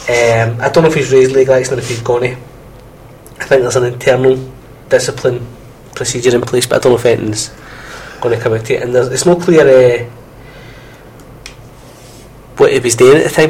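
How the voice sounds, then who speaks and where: Fairly quick, with long, frequent pauses, a man speaks in fairly even intonation. Noticeable background noise is present. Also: medium pitch for a man. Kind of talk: casual banter between co-hosts on a student radio show. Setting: radio studio. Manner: chatty, witty, quick-talking banter.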